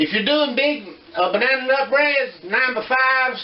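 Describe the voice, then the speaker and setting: A man with a Southern US accent is heard with audible room echo and noticeable background noise. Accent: Southern US (Georgia). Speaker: home cooking video host. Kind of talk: cooking tutorial. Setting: home kitchen. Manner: casual, folksy.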